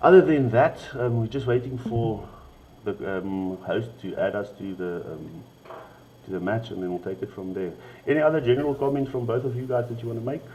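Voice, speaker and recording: With a South African accent, a man talks at a fairly quick pace and medium pitch, his intonation lively and his loudness swinging widely. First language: Afrikaans. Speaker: esports stream host. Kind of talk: livestream chat. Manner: halting.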